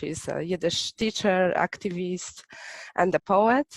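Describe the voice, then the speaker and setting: An unremarkable speaking voice from a woman, fairly low in pitch with ordinary variation, at a fairly slow pace, in a dry, close sound with no echo. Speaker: founder of a Yiddish arts association. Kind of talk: event host introduction.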